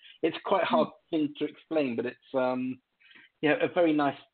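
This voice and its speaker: Here a man speaks with an English accent. His intonation is fairly even. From England. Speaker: keyboardist. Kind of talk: casual interview chat. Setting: remote call from home.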